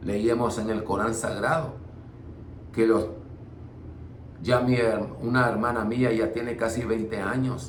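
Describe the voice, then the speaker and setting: A man's medium-pitched, fairly slow voice with fairly even intonation, amid noticeable background noise and audible room echo. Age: 60s. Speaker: preacher. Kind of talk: bible study. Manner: halting.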